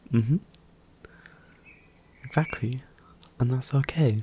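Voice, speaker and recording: Somewhat breathy, a man's voice has a relaxed tone that is dark and mellow. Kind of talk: soft-spoken ASMR roleplay talk to the viewer. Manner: soft, calming, relaxed.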